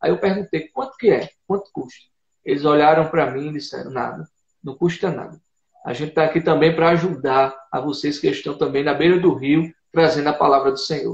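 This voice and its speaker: Speaking with a Paraíba accent, a man talks at a fairly quick pace in a fairly high pitch with vocal fry. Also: ordinary pitch variation. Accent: Paraíba northeastern Brazilian. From Brazil, Paraíba (Northeast). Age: 20s. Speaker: missionary. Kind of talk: testimony in a live interview. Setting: online live broadcast.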